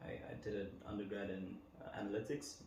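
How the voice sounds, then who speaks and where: Noticeable background noise and audible room echo surround a man speaking in a fairly low voice. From Botswana, Gaborone. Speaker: data analyst. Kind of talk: interview conversation. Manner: hesitant, many um fillers.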